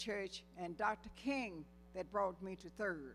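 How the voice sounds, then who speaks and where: A woman talks rather slowly and with lively intonation while music plays behind her. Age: 90s. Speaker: scholarship program founder member. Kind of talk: church guest talk.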